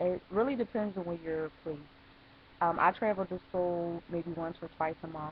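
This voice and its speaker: At a moderate pace, a woman speaks in a fairly low pitch. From Philadelphia, Pennsylvania. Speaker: writer and English teacher. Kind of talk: casual talk to camera.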